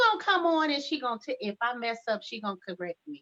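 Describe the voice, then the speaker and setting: Fairly high-pitched female speech, its pitch swinging very widely. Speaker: talk show host. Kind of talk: casual chat.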